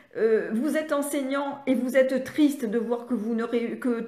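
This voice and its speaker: Audible room echo surrounds a woman speaking at a high pitch. Her pace is fairly slow and her intonation fairly even. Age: 70s. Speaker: speech therapist and reading educator. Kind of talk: live online training session. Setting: live stream on social media. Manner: halting, many hesitations.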